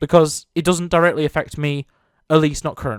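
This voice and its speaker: With a British accent, the voice comes through on a very clean recording with a silent background. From Britain. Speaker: gaming YouTuber. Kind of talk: opinion commentary video. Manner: earnest.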